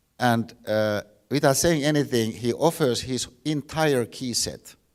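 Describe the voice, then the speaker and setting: A man with a Finnish accent and ordinary pitch variation, on a very clean recording with a silent background. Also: medium pitch for a man, fairly slow pace. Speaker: philosophy professor. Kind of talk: lecture. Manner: halting, many repeated words.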